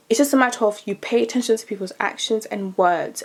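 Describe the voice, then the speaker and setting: Over noticeable background noise, a woman talks at a fairly quick pace with a fairly high pitch. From DR Congo, raised in UK. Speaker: YouTuber. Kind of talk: casual chat. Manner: fast; loud.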